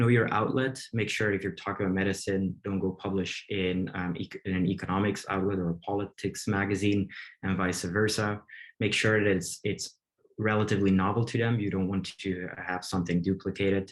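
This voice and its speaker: Against a quiet background, a man talks at a fairly quick pace with a fairly low pitch and monotone, flat intonation. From Belgium. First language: Dutch. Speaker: medical researcher and op-ed columnist. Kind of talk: webinar presentation. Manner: hesitant, many fillers.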